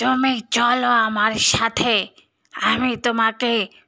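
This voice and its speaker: A female-sounding, cartoonish character voice sits at a fairly high pitch. The delivery comes at a very slow pace. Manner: reassuring, storyteller-like.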